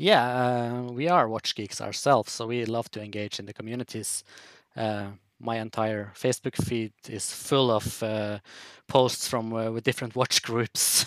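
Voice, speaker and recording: The recording is very clean with a silent background and a dry, close sound with no echo. A man of medium pitch speaks at a moderate pace with fairly even intonation and big swings in loudness. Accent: Norwegian. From northern Norway, Tromsø. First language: Norwegian. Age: 30s. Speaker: watch brand founder. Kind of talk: podcast interview.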